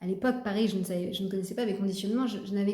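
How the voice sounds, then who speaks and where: Amid audible room echo, a woman speaks very fast in a dark, mellow, somewhat breathy voice with fairly even intonation. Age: 40s. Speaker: personal development vlogger. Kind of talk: personal testimony. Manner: halting, many fillers and repetitions.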